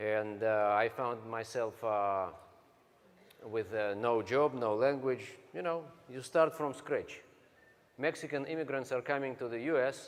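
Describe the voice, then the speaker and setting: A man speaks with a Russian accent at a fairly slow pace. His pitch variation is ordinary. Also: medium pitch for a man. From Siberia, Russia. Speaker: network marketing speaker. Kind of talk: motivational talk. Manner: halting.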